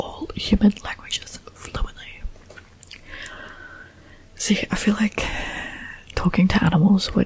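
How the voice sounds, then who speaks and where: Whispering at a fairly slow pace with long, frequent pauses, the voice comes through over noticeable background noise. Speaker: ASMR creator. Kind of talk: ASMR soft-spoken talk to camera. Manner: soft-spoken.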